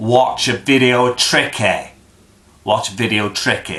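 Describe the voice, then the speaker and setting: Someone speaks at a very slow pace with a Bristol accent. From Bristol, England. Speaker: accent demonstrator. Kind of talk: casual talk to camera.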